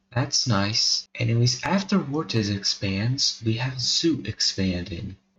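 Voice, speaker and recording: This soft-spoken man talks at a very slow pace with hardly any pauses. His medium-pitched voice has lively intonation. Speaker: mapping video creator. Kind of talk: casual narration over map video. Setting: home recording at night. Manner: quiet, soft-spoken.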